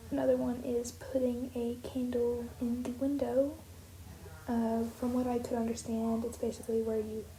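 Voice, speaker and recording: Over noticeable background noise and audible room echo, a woman speaks in a high pitch with monotone, flat intonation. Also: moderate pace. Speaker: art youtuber. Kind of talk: casual voiceover commentary. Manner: soft-spoken; halting, filler-heavy.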